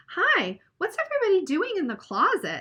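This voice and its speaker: Squeaky, put-on character voice from a woman, extremely high in pitch, raised and projected, with very wide pitch swings at a moderate pace. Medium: read story.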